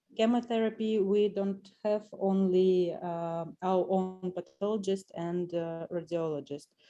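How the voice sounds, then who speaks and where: A woman's dark, mellow tone with a Russian accent, medium pitch, fairly even intonation, a fairly slow pace and hardly any pauses. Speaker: doctor at a breast cancer clinic. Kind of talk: audience question in webinar Q&A. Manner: halting.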